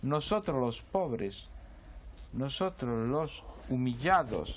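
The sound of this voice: The pace is slow. Intonation is lively. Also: man, medium pitch for a man.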